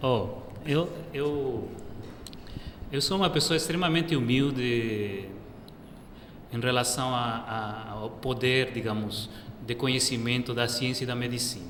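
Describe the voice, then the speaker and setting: With a Peruvian accent, a man of medium pitch talks at a fairly slow pace with ordinary pitch variation and long, frequent pauses, while audible room echo and noticeable background noise fill the recording. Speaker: professor, medical doctor. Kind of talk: TV interview.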